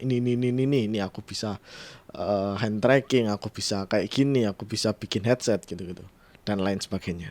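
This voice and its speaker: A man with a strong Javanese accent talks at a fairly quick pace, the sound dry and close with no echo. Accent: thick Javanese-accented Indonesian. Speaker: tech podcaster / YouTuber. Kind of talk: casual solo podcast commentary. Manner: casual, with fillers and restarts.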